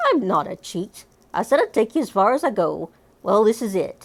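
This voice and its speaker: A woman's gruff, put-on character voice at a fairly high pitch and moderate pace, in a very clean recording with a silent background. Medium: read story. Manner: gruff, ungrammatical, petulant.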